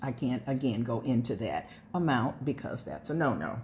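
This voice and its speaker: Her voice dark, mellow and somewhat breathy, a woman speaks at a moderate pace. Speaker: direct sales consultant. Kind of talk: sales pitch.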